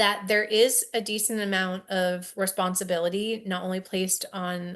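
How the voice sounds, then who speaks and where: Against a quiet background, a woman speaks fairly slowly at a medium pitch with fairly even intonation, in a normal speaking voice. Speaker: science educator. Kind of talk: webinar presentation.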